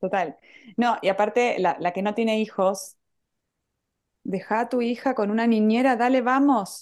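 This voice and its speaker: Against a quiet background, a woman with an Argentine accent talks at a fairly slow pace in a fairly high pitch. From Argentina. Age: 40s. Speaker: pastry chef and entrepreneur. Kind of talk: casual chat.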